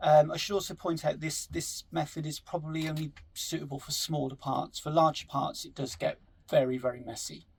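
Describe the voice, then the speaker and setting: A man with a strong West Country accent talks at a fairly quick pace, his loudness swinging widely. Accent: strong West Country-sounding English. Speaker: scale model hobbyist. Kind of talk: tutorial. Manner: hesitant, many fillers.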